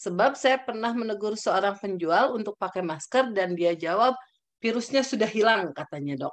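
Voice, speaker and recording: With an ordinary speaking voice, a woman at fairly high pitch uses lively intonation at a moderate pace over a quiet background. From Indonesia. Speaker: webinar moderator. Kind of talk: formal moderation. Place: home room. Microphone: video call.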